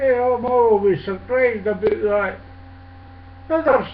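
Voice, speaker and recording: A fairly slow pace in a Scottish accent. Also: man. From Scotland. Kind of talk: casual talk to camera.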